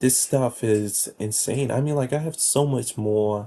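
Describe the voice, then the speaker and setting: At a moderate pace, the voice comes across somewhat breathy, with a dark, mellow tone. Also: man. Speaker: video creator. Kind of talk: casual monologue. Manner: halting, many fillers.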